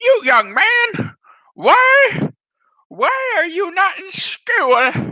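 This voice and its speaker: A man performs a put-on character voice at an extremely high pitch, with very wide pitch swings. He speaks at a very slow pace. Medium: solo performance. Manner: scolding, old-fashioned.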